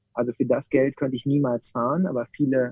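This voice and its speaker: A man speaks in an ordinary speaking voice at a medium pitch and a fairly quick pace. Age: 30s. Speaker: bus company owner. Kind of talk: interview.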